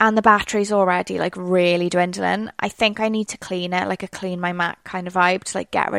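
With a Welsh accent, a woman talks at a fairly quick pace in a medium pitch, the sound dry and close with no echo on a very clean recording with a silent background. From Wales. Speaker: PR podcast host. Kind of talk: solo podcast monologue, casual. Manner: chatty, conversational.

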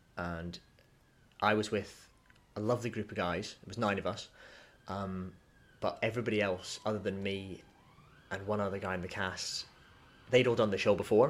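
Speaking fairly quickly in a Scottish accent, a man keeps a fairly low pitch and fairly even intonation. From Scotland, Dunblane. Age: 20s. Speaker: musical theatre performer. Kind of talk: casual chat.

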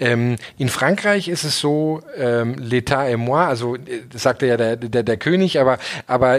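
A man's medium-pitched voice, a normal speaking voice, with ordinary pitch variation. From southern Germany. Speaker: startup founder and CEO. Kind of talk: interview.

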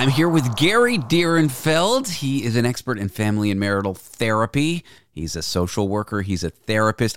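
Energetic and barely pausing, a man speaks at a medium pitch with very wide pitch swings. His pace is moderate, and the sound is dry and close with no echo. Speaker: show host, former radio host. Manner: energetic, self-deprecating host patter.

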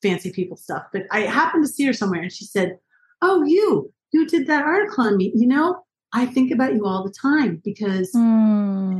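A woman speaks at a fairly quick pace in a somewhat breathy, fairly high voice, her pitch swinging very widely. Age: 50s. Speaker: journalist and author. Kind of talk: interview.

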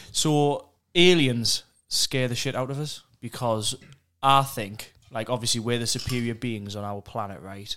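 The recording is very clean with a silent background. A man with a northeast England accent talks at a fairly slow pace in a bright, sharp tone with ordinary pitch variation. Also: medium pitch for a man. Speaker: podcast host. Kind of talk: casual chat.

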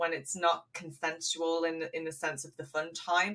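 The speaker has an English accent and fairly even intonation. The pace is moderate. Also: woman. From England. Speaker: podcast co-host. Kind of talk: casual chat.

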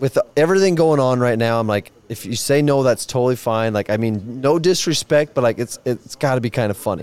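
With an American accent and an ordinary speaking voice, a man talks at a fairly quick pace with hardly any pauses, medium pitch and ordinary pitch variation, the sound dry and close with no echo. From Nebraska, near Omaha. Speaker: rodeo bullfighter. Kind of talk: casual chat. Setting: outdoors.

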